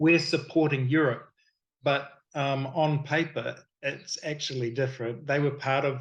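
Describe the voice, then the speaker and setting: The speaker has a New Zealand accent and a somewhat breathy voice, with monotone, flat intonation at a fairly slow pace. The background is quiet. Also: man, fairly high pitch for a man. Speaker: miniature sculptor and game designer. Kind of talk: casual interview chat. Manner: halting, with many fillers.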